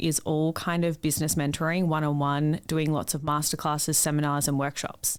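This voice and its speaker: A woman speaks in an Australian accent with a very deep, low pitch and hardly any pauses. The recording is very clean, with a silent background. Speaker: business mentor and online coach. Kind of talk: interview. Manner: loud.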